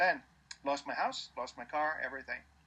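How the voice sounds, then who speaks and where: His tone comes across bright and sharp. The man speaks at a fairly quick pace. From Denmark, Copenhagen area. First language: Danish. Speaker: entrepreneur, founder of a business meetup group. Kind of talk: interview. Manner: halting, many repetitions and fillers.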